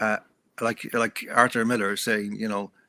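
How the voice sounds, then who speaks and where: A man's fairly low, monotone voice with a bright, sharp tone and an Irish accent, dry and close with no echo, in a very clean recording with a silent background. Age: 70s. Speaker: author and journalist. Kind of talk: interview conversation.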